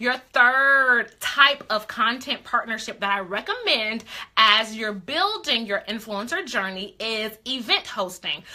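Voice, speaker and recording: Against noticeable background noise, a woman speaks in an animated tone at a fairly high pitch, fairly slowly and with hardly any pauses. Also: ordinary pitch variation. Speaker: beauty influencer coach. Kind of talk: live stream coaching talk. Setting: live stream.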